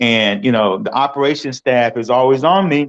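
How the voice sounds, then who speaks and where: A man talks in a normal speaking voice. His pitch is medium, with ordinary pitch variation. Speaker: stadium public address announcer. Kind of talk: interview answer.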